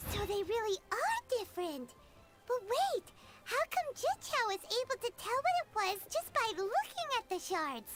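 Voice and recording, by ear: A cartoonish character voice at an extremely high pitch, moderate in pace, against loud background noise.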